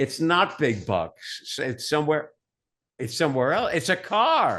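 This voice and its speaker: With vocal fry and very wide pitch swings, a man talks over a quiet background. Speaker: announcer, voice over artist, author, game show legend. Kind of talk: interview answer, storytelling about game show experiences.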